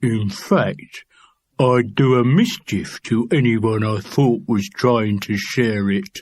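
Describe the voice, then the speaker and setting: A man puts on a character voice. He speaks very slowly at a medium pitch. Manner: menacing, slurred.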